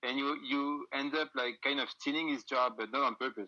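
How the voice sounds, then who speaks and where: In a French accent, the speaker has a bright, sharp tone and fairly even intonation, talking at a moderate pace against a quiet background. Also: man. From France. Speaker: music booker and band musician. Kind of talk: casual interview chat. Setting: Instagram live video call. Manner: halting.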